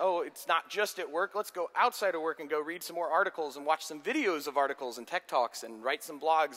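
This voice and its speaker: A man talks at a very fast clip with a high pitch and lively intonation. His tone is bright and sharp. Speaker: software architect giving a conference talk. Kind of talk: lecture.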